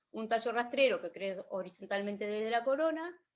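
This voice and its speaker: At a moderate pace, a woman with a plain, everyday voice speaks with lively intonation. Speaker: workshop instructor. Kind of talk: online workshop lecture. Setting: video livestream.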